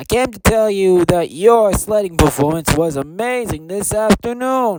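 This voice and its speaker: In a put-on character voice, a man speaks at a moderate pace with a high pitch. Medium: read story.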